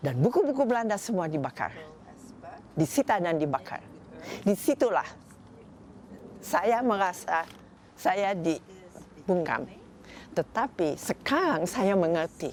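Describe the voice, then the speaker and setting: A woman with a medium pitch talks at a very slow pace, her pitch swinging very widely between long, frequent pauses. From Indonesia (Bandung). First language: Dutch (speaking Indonesian). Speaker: novelist and publisher. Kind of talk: interview. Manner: halting.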